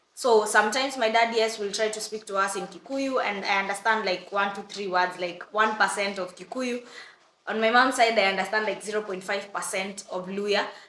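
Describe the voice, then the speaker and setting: A woman talks at a medium pitch and a fairly quick pace. Noticeable background noise runs behind her. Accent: East African. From Kenya. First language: Swahili. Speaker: vlogger. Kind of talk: storytime vlog. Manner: animated.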